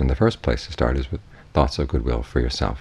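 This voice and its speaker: A man with an American accent, very deep low pitch, and vocal fry. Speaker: Buddhist monk, meditation teacher. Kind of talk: guided meditation instruction.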